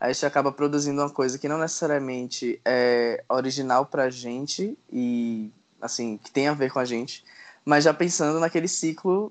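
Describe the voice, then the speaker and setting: The man's pitch sits fairly high, with ordinary variation. He speaks at a moderate pace. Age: 20s. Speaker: advertising professional. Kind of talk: casual chat.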